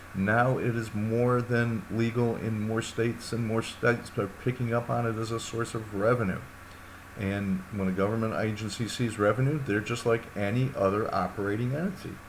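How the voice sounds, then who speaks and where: Medium-pitched male speech at a moderate tempo, its intonation fairly even, room echo audible throughout. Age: 60s. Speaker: university lecturer. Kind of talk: lecture. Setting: recorded course video. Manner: casual, hesitant with fillers.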